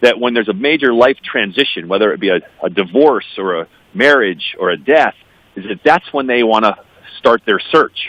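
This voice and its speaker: Using a normal speaking voice with an American accent, a man talks at a moderate pace in a medium pitch with lively intonation. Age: 50s. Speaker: adoptee advocate, business executive. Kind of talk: radio interview.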